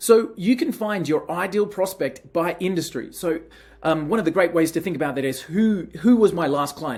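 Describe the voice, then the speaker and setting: A man with a high voice and an Australian accent speaks with ordinary pitch variation. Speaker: software company team member. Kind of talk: software demo tutorial. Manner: casual, conversational.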